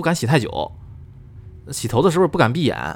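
A man's fairly high voice with vocal fry, animated in tone, at a moderate pace with lively intonation. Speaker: podcast host reading listener ghost stories. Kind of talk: storytelling, reading listener submissions in casual chat.

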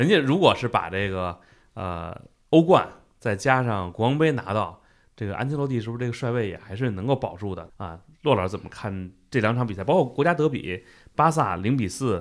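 In a very clean recording with a silent background, a man speaks at a fairly quick pace and medium pitch. His intonation is lively, and his loudness swings widely. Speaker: football podcast host. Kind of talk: casual chat.

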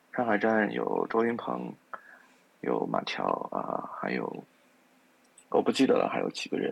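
Pausing often and at length, a man speaks at a moderate pace. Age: middle-aged. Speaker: music enthusiast. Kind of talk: casual chat.

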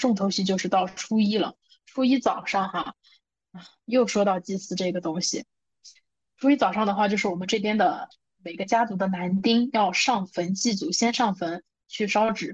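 A woman at medium pitch sounds somewhat breathy and leaves long, frequent pauses. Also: ordinary pitch variation, moderate pace. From northern China (Shanxi). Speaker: podcast co-host. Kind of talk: casual chat. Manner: animated.

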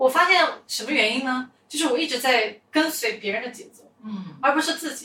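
A woman uses a raised, projected voice at a high pitch with lively intonation. Her pace is moderate, and her loudness swings widely. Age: 20s. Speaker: podcast host, entrepreneur. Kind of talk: casual interview chat.

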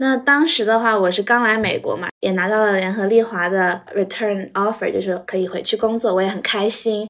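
A woman's fairly high, unremarkable speaking voice at a moderate pace with ordinary pitch variation and hardly any pauses. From Shanghai, China. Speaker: business analyst. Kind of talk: casual interview chat.

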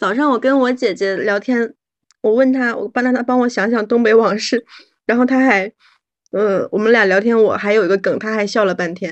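With an ordinary speaking voice, a woman talks at a fairly quick pace, her pitch fairly high and her intonation fairly even. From Northeast China. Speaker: podcast guest. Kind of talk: casual chat.

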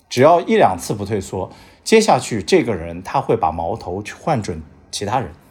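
A man talks at a fairly quick pace. The recording is very clean with a silent background. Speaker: podcast host and foreign bank employee. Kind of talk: casual chat.

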